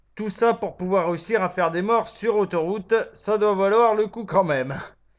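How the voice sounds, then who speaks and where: A man at a fairly slow pace with ordinary pitch variation against a quiet background. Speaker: vlogger. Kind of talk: comedic monologue. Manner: lying down.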